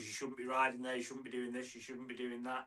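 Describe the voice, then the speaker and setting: In a northern English accent, a man speaks at a medium pitch with a bright, sharp tone. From northern England (near Manchester). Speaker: mountain biking content creator. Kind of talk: casual chat.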